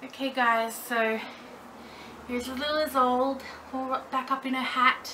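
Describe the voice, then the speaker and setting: Raised and projected, the voice moves at a moderate pace in a monotone, flat intonation, with long, frequent pauses over light background noise. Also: woman. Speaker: doll collector vlogger. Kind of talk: casual vlog tutorial. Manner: loud, projecting. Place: home room. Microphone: camera mic far from speaker; camera far.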